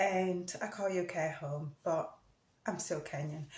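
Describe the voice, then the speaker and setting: Her intonation is fairly even, and her voice is somewhat breathy. This woman's pitch is fairly low. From Kenya. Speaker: vlogger. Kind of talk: casual vlog talk. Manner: halting.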